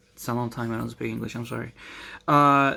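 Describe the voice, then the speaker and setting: A voice with a Spanish accent in a very clean recording over a silent background. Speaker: vlogger. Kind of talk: casual monologue. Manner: halting, many fillers.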